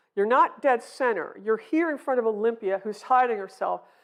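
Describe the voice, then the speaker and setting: Over a quiet background, a woman with an American accent speaks at a moderate pace in a fairly high voice with lively intonation. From US South, North Carolina. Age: 60s. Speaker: painter. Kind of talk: lecture. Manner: casual, halting.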